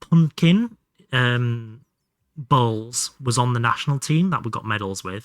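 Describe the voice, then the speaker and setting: A man with a northern English accent, lively intonation and a fairly slow pace, in dry, close sound with no echo. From northern England, Hull. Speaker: game streamer. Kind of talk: live gaming stream chat. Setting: live stream. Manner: animated.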